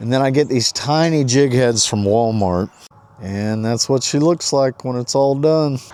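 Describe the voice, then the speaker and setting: A man with an unremarkable speaking voice talks at a fairly slow pace, medium pitch and ordinary pitch variation. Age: 60s. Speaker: fishing vlogger. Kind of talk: casual vlog narration. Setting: outdoors. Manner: casual, chatty.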